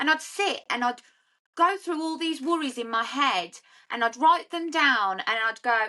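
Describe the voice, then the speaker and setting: A woman speaks in a high, bright, sharp voice, raised and projected. Her intonation is lively and her pace fairly slow. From English Midlands, South Staffordshire. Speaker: sober life coach. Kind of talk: testimony.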